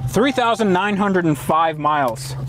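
A man talks with ordinary pitch variation. The sound is dry with no echo, though background noise is noticeable. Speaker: car channel host. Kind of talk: casual car review chat. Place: car.

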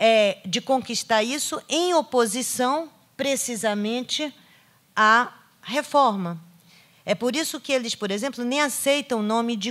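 A woman speaks at a very slow pace with a high pitch and ordinary pitch variation. The background is quiet. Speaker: literature professor. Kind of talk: lecture. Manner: halting, many fillers. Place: hall. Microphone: podium.

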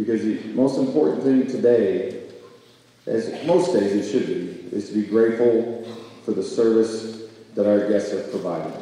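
In a room with strong echo, a man speaks with ordinary pitch variation. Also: moderate pace. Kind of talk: ceremony welcome speech. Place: hall. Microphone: podium.

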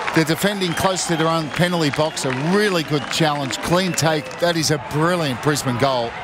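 A man with a fairly high pitch talks at a moderate pace, with hardly any pauses and ordinary pitch variation. His loudness stays very even, and there is noticeable background noise. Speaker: co-commentator, match analyst. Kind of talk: live match commentary, expert analysis. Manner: conversational, measured, with fillers like 'you know'.

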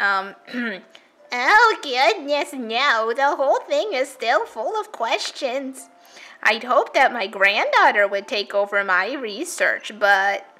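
Using a put-on character voice, a woman speaks at a very slow pace in a high pitch.

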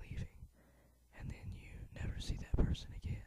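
The speaker is whispering. The pace is moderate. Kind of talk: ASMR whisper talk over gameplay. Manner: whispered.

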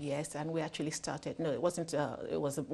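A woman with a dark, mellow tone and very deep, low pitch talks at a fairly quick pace. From Nigeria. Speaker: children's TV presenter and author. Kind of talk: interview. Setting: studio. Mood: warm, smiling. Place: studio. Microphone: lapel.

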